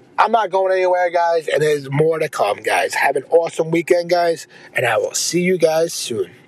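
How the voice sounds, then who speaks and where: The delivery moves at a moderate pace. Background noise is noticeable throughout. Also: man. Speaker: podcast host. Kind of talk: casual episode sign-off. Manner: casual, informal.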